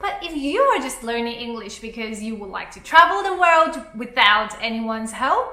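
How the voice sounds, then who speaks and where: A woman speaks in a raised, projected voice with very wide pitch swings. Audible room echo surrounds her. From Taiwan. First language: Mandarin. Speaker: YouTuber. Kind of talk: motivational vlog talk. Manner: animated.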